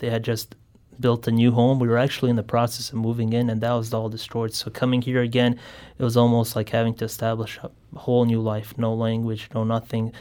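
A man talks at a very fast pace in a monotone, flat way. The recording is very clean with a silent background. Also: medium pitch for a man. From Bosnia. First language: Bosnian. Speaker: genocide survivor and student. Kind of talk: radio interview. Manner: halting.

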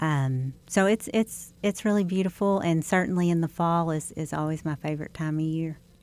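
A woman with an American accent and a normal speaking voice talks at a moderate pace with hardly any pauses, her fairly low pitch showing ordinary variation, in a very clean recording with a silent background. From Southeast Missouri. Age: 50s. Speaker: state senator. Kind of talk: interview. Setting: studio.

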